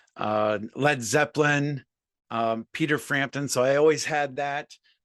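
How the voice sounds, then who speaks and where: A man with a plain, everyday voice and a fairly high pitch speaks at a fairly slow pace with fairly even intonation, his sound dry and close with no echo over a quiet background. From US Midwest, Columbus Ohio. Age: 50s. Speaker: musician and sober coach. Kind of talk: casual interview chat.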